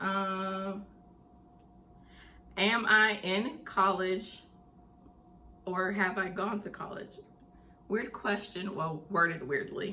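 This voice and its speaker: With a Southern US accent, a woman speaks very slowly at a medium pitch, with ordinary pitch variation and long, frequent pauses. Noticeable background noise and audible room echo fill the recording. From US South (Tennessee and Mississippi). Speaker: mental health channel host. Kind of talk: casual vlog Q&A.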